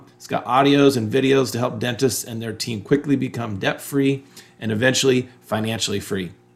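Speaking with a normal speaking voice, a man keeps a moderate pace and a medium pitch with ordinary pitch variation. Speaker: podcast host and coach. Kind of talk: interview conversation.

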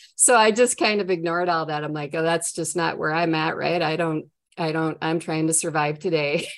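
Her pitch fairly low, a woman speaks at a fairly quick pace with fairly even intonation. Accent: Minnesotan. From Minnesota.

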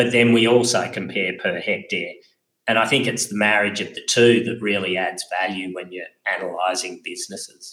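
A man in an Australian accent, with big swings in loudness. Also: moderate pace. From Australia, Wagga Wagga, New South Wales. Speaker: farm business advisor. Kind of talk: interview.

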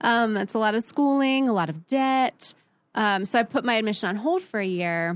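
In a very clean, dry and close recording with no echo and a silent background, a woman with an American accent and an unremarkable speaking voice talks at a moderate pace, fairly high in pitch with lively intonation. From Midwest US (Columbus, Ohio). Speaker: writer and editor. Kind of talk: casual interview.

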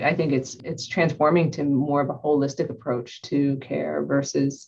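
A woman speaks at a moderate pace. She has an American accent. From Ohio, US. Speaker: healthcare IT executive. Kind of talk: interview.

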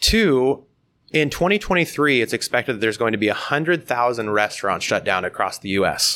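With an American accent, a man talks at a fairly quick pace in a bright, sharp tone at a medium pitch, his pitch swinging very widely, on a very clean recording with a silent background. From US Midwest, southeast Iowa. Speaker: startup founder and CEO. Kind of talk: interview.

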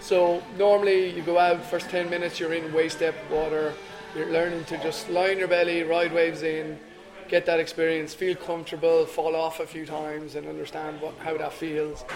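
A man with a Dublin accent speaks high in pitch at a moderate pace, his intonation monotone and flat. Noticeable background noise and audible room echo fill the recording. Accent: Irish (Dublin area). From Ireland, Dublin area. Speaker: surf school owner and instructor. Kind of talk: casual interview. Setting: cafe.

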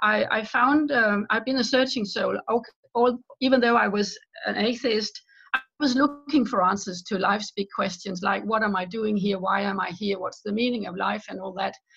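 With a Danish accent, a woman speaks at a moderate pace in a fairly high pitch with ordinary pitch variation. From Denmark. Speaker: author. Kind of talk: interview.

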